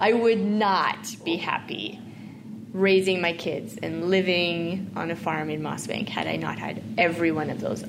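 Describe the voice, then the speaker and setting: In a Canadian Prairies accent, a woman with a fairly low pitch and lively intonation talks at a fairly slow pace over noticeable background noise and audible room echo. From Saskatchewan, Canada. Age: 40s. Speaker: farm advocacy organization leader. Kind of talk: interview conversation.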